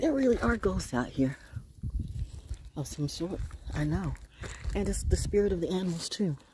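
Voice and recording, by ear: With lively intonation and a moderate pace, a woman speaks at a fairly low pitch in a dark, mellow tone that carries a husky, rough edge.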